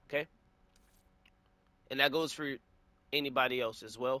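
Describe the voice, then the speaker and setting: Fairly fast and bright, the voice carries a sharp tone and fairly even intonation. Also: man. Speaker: gaming YouTuber. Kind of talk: tutorial. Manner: casual with many filler words.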